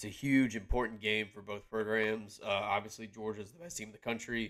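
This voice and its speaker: On a very clean recording with a silent background, a man with an American accent talks at a fairly quick pace in a fairly low, bright, sharp voice with monotone, flat intonation. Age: 20s. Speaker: sports podcast co-host. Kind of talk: casual chat.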